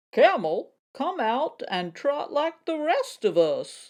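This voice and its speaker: Using a put-on character voice, the speaker talks at a high pitch and a fairly slow pace. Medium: read story.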